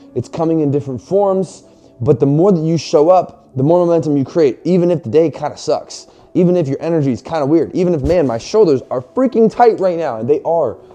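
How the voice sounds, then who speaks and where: With music in the background, a man talks fairly quickly at a high pitch, in an animated tone with lively intonation. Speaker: fitness and faith motivational vlogger. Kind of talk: motivational talk to camera. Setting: garage, filming to camera. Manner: animated, casual; loud, yelling.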